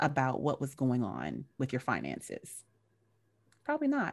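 A woman with an American accent at a moderate pace, on a very clean recording with a silent background. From US South, North Carolina. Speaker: educational consultant and actress. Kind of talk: casual chat.

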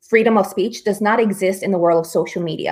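Her pitch is medium and varies in an ordinary way. This woman speaks with a Spanish accent. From Newark, New Jersey, US. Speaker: conservative activist and media founder. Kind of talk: political interview.

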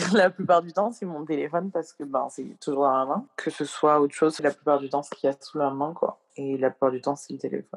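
Very fast delivery with hardly any pauses. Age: 20s. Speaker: makeup artist and poet. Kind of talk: casual interview. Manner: halting, many fillers.

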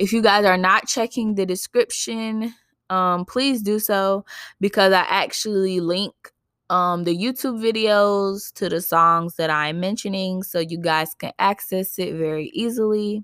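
In an American accent, a woman with a medium pitch speaks fairly slowly in an animated tone with ordinary pitch variation, her sound dry and close with no echo on a very clean recording with a silent background. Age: 20s. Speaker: podcast host. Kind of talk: casual monologue.

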